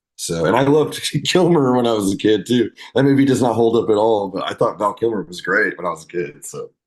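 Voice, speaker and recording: Talking very fast, a man uses a medium pitch with lively intonation. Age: 40s. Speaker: rock band vocalist. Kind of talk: casual chat.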